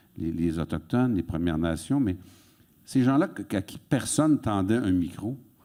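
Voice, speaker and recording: A man with a fairly low pitch, a dark, mellow tone and very wide pitch swings at a moderate pace, in a very clean recording against a silent background. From Quebec, Sorel. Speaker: author and interviewer. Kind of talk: public onstage conversation. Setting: auditorium stage with audience.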